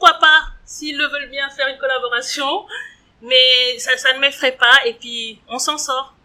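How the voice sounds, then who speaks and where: A woman with a high pitch speaks very slowly in a raised, projected voice. Her tone is bright and sharp, and her loudness swings widely. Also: fairly even intonation. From Switzerland, Geneva. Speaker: entrepreneur. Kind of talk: interview. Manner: hesitant, frequent fillers.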